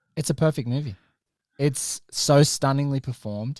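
A man with an Australian accent at a fairly quick pace, medium pitch and ordinary pitch variation, dry and close with no echo, in a very clean recording with a silent background. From Australia, Sydney. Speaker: film podcast host. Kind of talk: casual chat.

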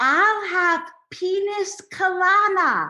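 Amid audible echo, a woman does a loud, put-on character voice at an extremely high pitch. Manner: loud, over-enunciated, deaf-style speech.

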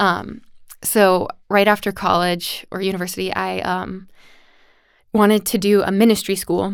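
A woman's flat, monotone voice with an American accent, long and frequent pauses, and a very clean recording against a silent background. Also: medium pitch for a woman, moderate pace. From USA. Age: 20s. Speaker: dance teacher. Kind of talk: casual interview.

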